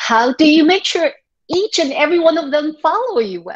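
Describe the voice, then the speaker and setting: A woman talks in a Taiwanese accent. Her pitch swings very widely. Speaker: high school English teacher. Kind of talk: workshop lecture. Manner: conversational, with frequent fillers.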